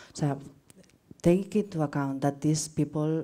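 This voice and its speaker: This woman has a very deep, low pitch and a dark, mellow tone. She speaks at a moderate pace with a Spanish accent. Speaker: researcher presenting at academic seminar. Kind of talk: conference Q&A. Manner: halting.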